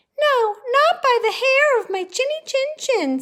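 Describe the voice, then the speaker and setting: In a squeaky, put-on character voice at an extremely high pitch, the speaker moves at a fairly slow pace. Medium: read story.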